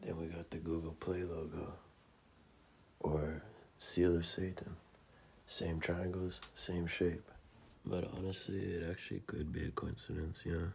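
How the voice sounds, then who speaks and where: A man speaks at a fairly slow pace in a very deep, low, somewhat breathy voice. His intonation is flat and monotone, with long, frequent pauses. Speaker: religious video commentator. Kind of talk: narrated slideshow commentary. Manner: quiet, not very clear; casual, informal.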